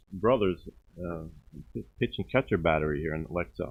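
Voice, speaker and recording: This man talks at a moderate pace with a New York accent. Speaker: baseball commentator. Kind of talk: live commentary.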